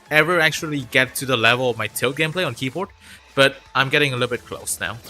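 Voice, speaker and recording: Over music in the background, the speaker goes at a very fast pace with ordinary pitch variation. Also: man, medium pitch for a man. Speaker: gaming streamer. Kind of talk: live gaming stream chat. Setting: home livestream on laptop. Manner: casual, filler-heavy.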